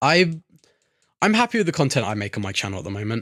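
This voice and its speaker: A man's voice with very wide pitch swings, dry and close with no echo, on a very clean recording over a silent background. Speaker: YouTuber. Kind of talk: casual gameplay commentary. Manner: halting, stuttering.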